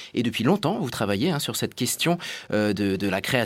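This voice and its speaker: A man speaks with very wide pitch swings. The recording is very clean, with a silent background. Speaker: radio host. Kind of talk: radio interview. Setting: studio link from parliament. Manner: formal.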